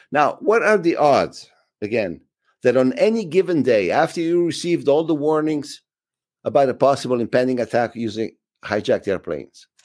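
Speaking with an Italian accent, a man uses a fairly high pitch and very wide pitch swings at a moderate pace. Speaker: film director. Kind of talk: interview. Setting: video call.

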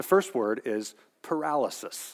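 Speaking at a fairly slow pace with lively intonation, a man with a normal speaking voice is heard in a very clean recording against a silent background. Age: 50s. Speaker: pastor. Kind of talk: sermon.

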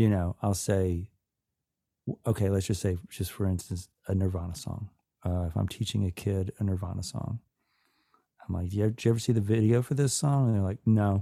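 Fairly low and dark, mellow in tone, a man's voice moves at a fairly quick pace with ordinary pitch variation. The sound is dry and close with no echo, on a very clean recording with a silent background. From US South, Atlanta, Georgia. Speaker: musician and author. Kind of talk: casual chat.

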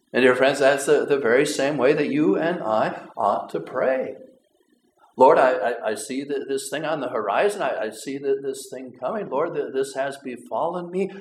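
The man talks at a moderate speed. His voice carries audible room echo. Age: 50s. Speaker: pastor who also drives a school bus. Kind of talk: sermon. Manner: halting, repeats words often.

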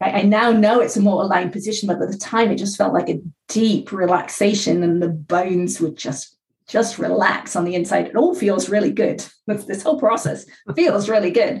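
A woman of medium pitch speaks at a moderate pace with ordinary pitch variation. Vocal fry runs through her voice. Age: 50s. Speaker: author. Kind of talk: interview.

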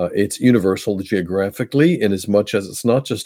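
This voice has a dark, mellow tone and an American accent, with ordinary pitch variation at a moderate pace. The recording is very clean, with a silent background. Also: man. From Pennsylvania, US. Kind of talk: interview. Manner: halting, many fillers.

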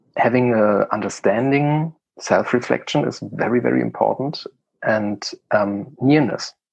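Speech at a fairly slow pace with a German accent. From eastern Germany. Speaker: project manager and charity chairman. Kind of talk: interview.

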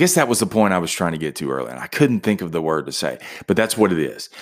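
A man with vocal fry talks in an animated tone with very wide pitch swings, recorded very cleanly against a silent background. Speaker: podcast host. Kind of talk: pep talk. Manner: animated, emphatic, rapid-fire motivational delivery; repetitive, punchy, conversational.

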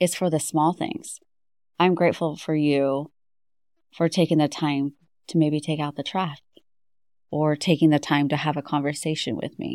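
On a very clean recording with a silent background, a woman with a warm tone and a very deep, low pitch speaks at a moderate pace in a monotone, flat intonation, with long, frequent pauses. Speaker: podcast host. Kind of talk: casual recap chat. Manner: warm, grateful.

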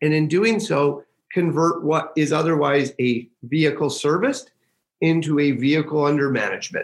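A man talks at a moderate pace with very even loudness and ordinary pitch variation. His is an unremarkable speaking voice. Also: fairly high pitch for a man. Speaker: company founder and CEO. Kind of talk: interview.

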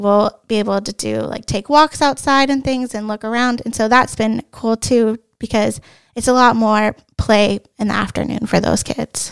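An unremarkable speaking voice from a woman, fairly high in pitch, with fairly even intonation at a moderate pace and a dry, close sound with no echo. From Ohio, US Midwest. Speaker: kindergarten teacher. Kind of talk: casual interview.

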